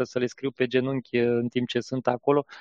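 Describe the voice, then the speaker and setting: A man talks at a fairly slow pace. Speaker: software company founder. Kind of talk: podcast interview.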